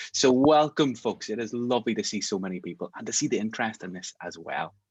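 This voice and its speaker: Recorded with a dry, close sound and no echo, a man with a Northern Irish accent talks very fast in an animated tone, his pitch swinging very widely. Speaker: mediation trainer. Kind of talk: online masterclass.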